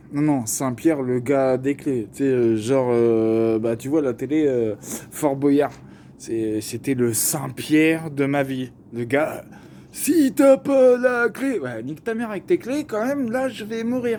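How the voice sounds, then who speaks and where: Amid noticeable background noise, a man with a fairly high voice speaks at a very slow pace, with very wide pitch swings and big swings in loudness. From Paris region, France. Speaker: vlogger. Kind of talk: casual storytelling monologue. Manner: animated, slangy.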